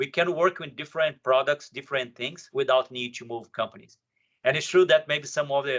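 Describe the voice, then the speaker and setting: A man talks at a fairly quick pace. He has a strong Brazilian accent. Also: fairly high pitch for a man, ordinary pitch variation, big swings in loudness. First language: Portuguese. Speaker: software professional, panelist. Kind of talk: panel discussion.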